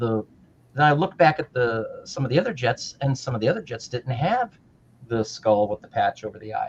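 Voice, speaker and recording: A man talks at a moderate pace with an American accent. His voice is somewhat breathy. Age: 60s. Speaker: retired modeller, show co-host. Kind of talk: casual chat. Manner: animated.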